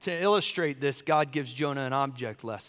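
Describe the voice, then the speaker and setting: This man talks at a fairly quick pace with a Southern US accent and a bright, sharp tone. His pitch varies in an ordinary way, and the recording is very clean with a silent background. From US South, Charleston, South Carolina. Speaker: pastor. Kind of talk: sermon.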